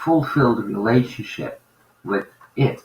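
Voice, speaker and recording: At a very slow pace, a man with a medium pitch talks with lively intonation. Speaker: spiritual teacher. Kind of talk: spiritual talk.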